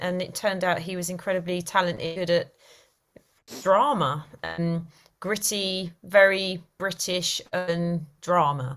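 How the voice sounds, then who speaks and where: In an East London accent, a woman talks at a fairly slow pace. Her pitch is fairly low and her intonation fairly even. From East London, England. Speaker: actress. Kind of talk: interview.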